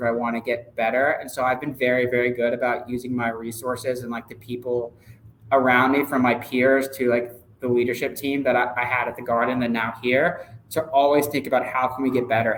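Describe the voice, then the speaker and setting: Over noticeable background noise, a man speaks at a fairly quick pace in a monotone, flat intonation. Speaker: sports ticket sales manager. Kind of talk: interview. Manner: loud; casual, filler-heavy.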